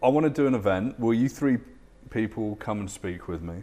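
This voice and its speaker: A man with a British accent talks at a fairly low pitch. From UK. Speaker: futurist and keynote speaker. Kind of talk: interview. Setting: studio.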